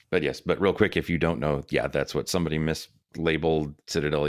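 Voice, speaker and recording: A man speaks at a fairly quick pace with a very deep, low pitch and vocal fry. The recording is very clean, its background silent. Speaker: podcast co-host. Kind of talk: casual discussion with some reading aloud.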